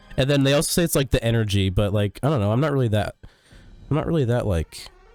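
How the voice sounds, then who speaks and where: Quiet but very even in loudness, a man talks at a very fast pace with a medium pitch and lively intonation, the sound dry and close with no echo. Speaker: streamer. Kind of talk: casual chat. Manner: quiet, chilled; not loud. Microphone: good mic with good EQ.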